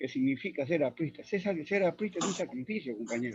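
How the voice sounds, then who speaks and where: The pace here is fairly quick. It is a man talking. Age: 80s+. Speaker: party elder speaker. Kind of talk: commemorative speech in virtual colloquium. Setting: video call.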